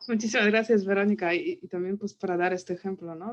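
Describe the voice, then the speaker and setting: A woman's medium-pitched voice with a non-native accent and fairly even intonation. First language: not Spanish (speaking Spanish). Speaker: book club moderator. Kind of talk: book club conversation.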